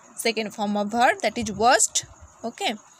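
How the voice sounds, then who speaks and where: Background noise is noticeable. A woman talks over it. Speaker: English teacher. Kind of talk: lecture. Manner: slow.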